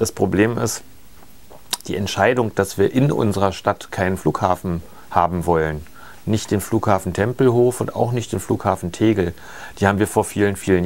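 Fairly low-pitched man with fairly even intonation. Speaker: politician being interviewed. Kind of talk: interview answer. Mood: calm, explanatory. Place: shop. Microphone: lapel.

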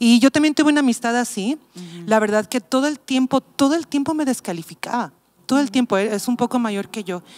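This woman's voice is high-pitched. She speaks fairly quickly with lively intonation. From Mexico City. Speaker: pastor. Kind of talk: casual chat. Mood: reflective, personal story. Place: studio. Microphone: handheld.

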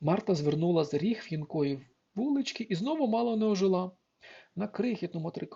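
In an unforced reading voice with lively intonation, the speaker reads over a quiet background.

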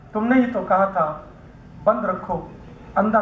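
A man speaks with a high pitch. There is light background noise and audible room echo. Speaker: poet. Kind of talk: poetry reading at a literary gathering. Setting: radio broadcast recording of a poetry event. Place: stage. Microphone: headset.

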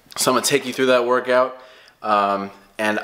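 The voice belongs to a man. He keeps his intonation mostly level. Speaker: fitness vlogger. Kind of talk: casual vlog chat. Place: home room. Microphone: phone near.

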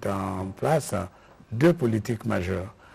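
A man speaks at a fairly slow pace in a fairly low, somewhat breathy voice with lively intonation. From DR Congo. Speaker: government minister. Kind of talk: press conference. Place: hall. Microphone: podium.

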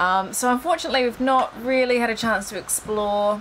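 A woman's fairly high, fairly bright voice at a fairly quick pace, with ordinary pitch variation.

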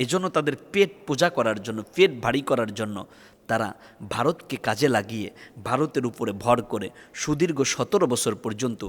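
A man talks at a medium pitch, his intonation lively. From Bangladesh. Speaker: Islamic preacher. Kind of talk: sermon. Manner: impassioned.

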